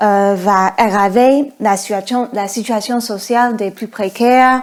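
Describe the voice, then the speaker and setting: A woman with an American accent speaks very slowly at a fairly high pitch, her intonation fairly even, over noticeable background noise. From United States. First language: English (speaking French). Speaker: podcast host. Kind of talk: interview. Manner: hesitant, many fillers.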